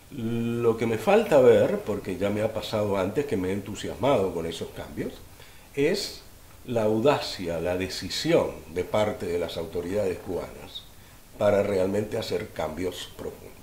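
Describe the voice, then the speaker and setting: There is audible room echo around a man's voice. He talks at a fairly slow pace with ordinary pitch variation. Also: fairly low pitch for a man. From Cuba, raised in Argentina. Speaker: lawyer. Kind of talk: interview.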